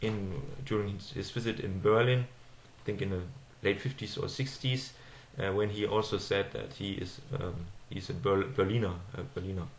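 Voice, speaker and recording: Somewhat breathy speech with a German accent comes at a moderate pace with ordinary pitch variation, and audible room echo surrounds it. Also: man. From Germany. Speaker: political commentator. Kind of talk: monologue video address. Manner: halting, many fillers.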